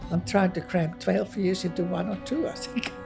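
With clear music in the background, a woman speaks at a moderate pace in a fairly low-pitched voice. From Indonesia. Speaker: retiree learning Chinese. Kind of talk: interview answer. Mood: warm, reflective, a little wistful. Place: hall. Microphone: lapel.

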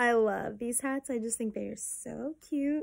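The speech comes at a fairly slow pace with ordinary pitch variation. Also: woman. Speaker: haul vlogger. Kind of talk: casual vlog chat. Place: home room. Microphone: phone near.

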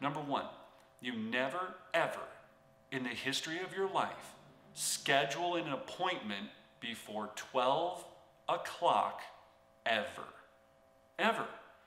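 A man at a fairly slow pace, with long, frequent pauses and audible room echo. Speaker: real estate coach. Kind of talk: motivational tutorial talk. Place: home room.

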